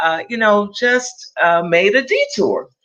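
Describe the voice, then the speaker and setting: A woman speaks with an American accent and a bright, sharp tone. Her pitch variation is ordinary. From Los Angeles, California. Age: 70s. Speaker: clinical psychologist. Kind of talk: interview. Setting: livestream.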